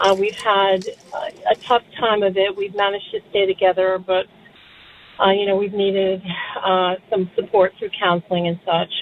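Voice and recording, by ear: A woman speaks at a medium pitch and a moderate pace. Her pitch barely moves.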